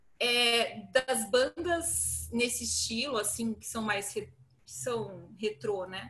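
A woman's very slow speech with big swings in loudness over noticeable background noise. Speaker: guest music fan. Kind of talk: casual chat.

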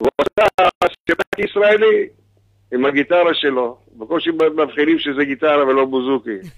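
A man talks at a very slow pace in a fairly high pitch, with lively intonation. His loudness is very even, and the sound is dry and close with no echo. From Israel, kibbutz. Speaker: singer. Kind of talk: phone interview. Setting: phone call.

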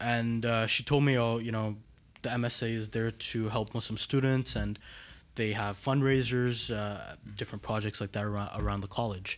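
A man talks at a moderate pace with a medium pitch. His intonation is flat and monotone, and the recording is very clean with a silent background. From Montreal. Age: 20s. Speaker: student. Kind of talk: casual chat.

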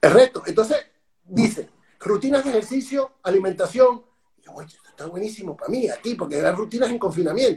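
Speaking at a fairly quick pace, a high-pitched man uses lively intonation with big swings in loudness. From Venezuela. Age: 40s. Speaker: speaker and personal trainer. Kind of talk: interview.

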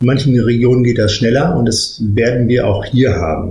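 A man speaks at a moderate pace with a medium pitch. The room echo is audible. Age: 40s. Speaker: managing director of a cattle genetics company. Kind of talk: interview.

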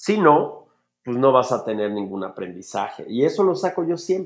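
A man's voice at a fairly slow pace, with very wide pitch swings. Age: 40s. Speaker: film director and motivational speaker. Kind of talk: casual interview. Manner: animated.

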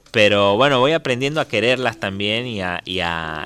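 A man talks with music playing in the background. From Tucumán, Argentina. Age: 30s. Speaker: folk musician. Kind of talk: radio interview. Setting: studio.

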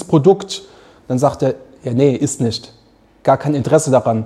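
Speaking in an animated tone, a man uses ordinary pitch variation. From Mannheim, south-western Germany. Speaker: coffee roaster and café owner. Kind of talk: casual interview.

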